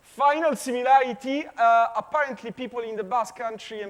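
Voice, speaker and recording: This man has a non-native accent and a moderate pace. His pitch varies in an ordinary way. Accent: foreign accent, self-described as weird. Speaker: physics professor. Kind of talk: conference talk. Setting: conference stage with audience. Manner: halting, many fillers and repetitions.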